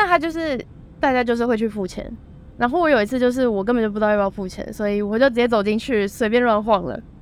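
This woman talks at a very fast pace with a fairly high pitch. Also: ordinary pitch variation. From Taiwan. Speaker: student and former au pair. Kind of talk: casual interview chat.

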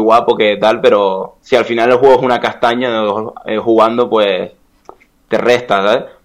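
This man has an ordinary speaking voice, medium in pitch, with fairly even intonation at a moderate pace. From Canary Islands, Spain. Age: 20s. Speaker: esports video game player. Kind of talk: casual interview.

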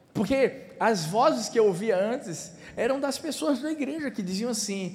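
With an animated tone and a high pitch, a man speaks at a moderate pace with ordinary pitch variation, and audible room echo surrounds him. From Recife, Pernambuco, Brazil. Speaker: pastor. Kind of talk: sermon.

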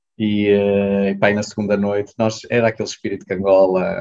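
Here a man is speaking. His pace is moderate. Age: 30s. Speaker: clinic manager, former volunteer. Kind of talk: casual interview.

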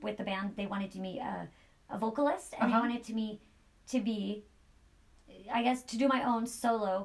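A woman speaks at a fairly quick pace with fairly high pitch and a somewhat breathy quality. Her intonation stays fairly even, broken by long, frequent pauses. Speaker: podcast host. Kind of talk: interview. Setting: studio.

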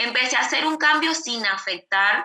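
A woman's voice carries lively intonation. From Venezuela. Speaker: influencer and digital marketing entrepreneur. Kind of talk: interview conversation. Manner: hesitant with repeated words and fillers.

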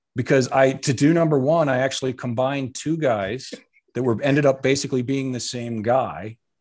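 Using a plain, everyday voice, a man talks at a fairly quick pace with medium pitch and fairly even intonation. The background is quiet. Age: 50s. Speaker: actor and comedian, football writer. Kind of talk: casual chat.

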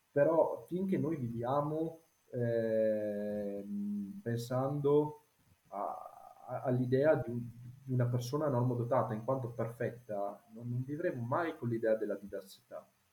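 Pausing long and often, a man talks at a fairly slow pace in a medium pitch, with ordinary pitch variation. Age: 30s. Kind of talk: casual chat.

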